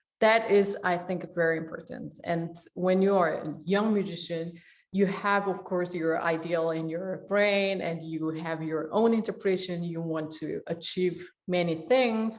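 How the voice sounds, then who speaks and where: A woman with a Korean accent and a fairly low pitch, fairly slow and fairly even in intonation, with hardly any pauses and audible room echo. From South Korea. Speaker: orchestra and opera conductor. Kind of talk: interview. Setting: online video event.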